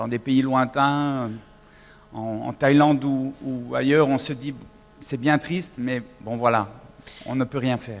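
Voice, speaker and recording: Speaking very slowly with long, frequent pauses, a man with a Swiss accent keeps a fairly even intonation. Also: medium pitch for a man. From Switzerland. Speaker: singer. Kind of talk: public talk. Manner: halting.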